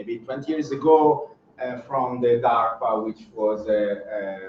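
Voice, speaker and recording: A man with a non-native accent speaks at a medium pitch. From Italy. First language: Italian. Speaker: professor. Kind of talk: keynote lecture. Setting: seminar room with audience, streamed online. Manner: hesitant, many fillers.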